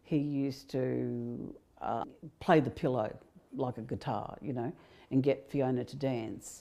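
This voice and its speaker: A woman with an Australian accent and a dark, mellow tone. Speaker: mother of survivor. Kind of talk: interview. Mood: grave, recounting abuse. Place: home room.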